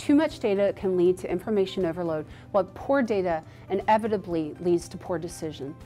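A woman talks fairly quickly while faint music sits in the background. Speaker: conference speaker. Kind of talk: promotional explainer to camera. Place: studio.

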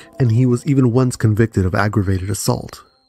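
A man speaks very fast at a medium pitch with ordinary pitch variation, with music playing in the background. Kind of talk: true crime documentary narration.

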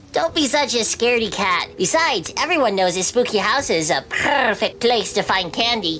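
A cartoonish character voice that sounds female, pitched fairly high. Clear background noise runs underneath. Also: moderate pace. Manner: upbeat.

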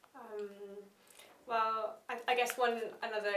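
Audible room echo surrounds a woman's voice, with light background noise. Her intonation stays fairly even. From England. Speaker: history student and gamelan player; interviewee. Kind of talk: interview. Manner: hesitant, many fillers. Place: meeting room.

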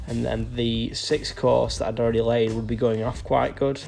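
A man speaks at a moderate pace while faint music plays in the background. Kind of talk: casual vlog chat while working. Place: street. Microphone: phone near.

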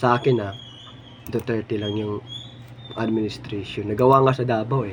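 A man at medium pitch, monotone and flat, at a moderate pace with long, frequent pauses and noticeable background noise. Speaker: political commentary vlogger. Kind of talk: political opinion monologue.

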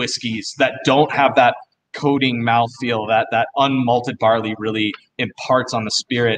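A man with an American accent and a plain, everyday voice speaks at a moderate pace with fairly even intonation over light background noise. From US. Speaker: distillery founder; guest. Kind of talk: casual live-stream interview.

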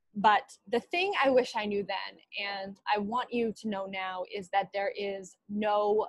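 A woman's medium-pitched, monotone, flat delivery, with a dry sound with no echo and a quiet background. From Canada, Winnipeg. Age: 20s. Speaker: alumna keynote speaker. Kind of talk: commencement speech. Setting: video call. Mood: earnest, encouraging. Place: home room. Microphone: earbuds.

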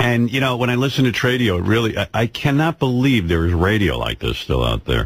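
Noticeable background noise sits under the voice. The speaker has lively intonation and a moderate pace. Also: man. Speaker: prank call show host. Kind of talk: casual chat. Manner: animated.

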